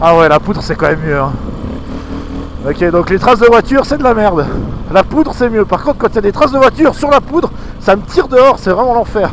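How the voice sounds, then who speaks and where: High-pitched male voice, animated in tone with lively intonation, fairly quick but broken by long, frequent pauses, amid noticeable background noise. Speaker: motorcycle vlogger. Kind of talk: casual vlog commentary while riding. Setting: riding an enduro motorcycle in snow, helmet camera. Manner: animated, exclamatory.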